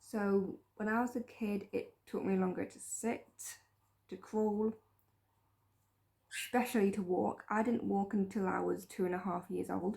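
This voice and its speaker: Speaking at a fairly slow pace, a woman with medium pitch uses vocal fry. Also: fairly even intonation. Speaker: vlogger. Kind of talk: personal story vlog.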